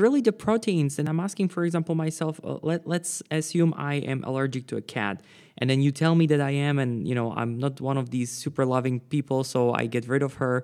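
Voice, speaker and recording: Fairly high male voice, its pitch varying in an ordinary way. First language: non-English, Slavic. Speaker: podcast host. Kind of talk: interview. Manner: hesitant, many fillers.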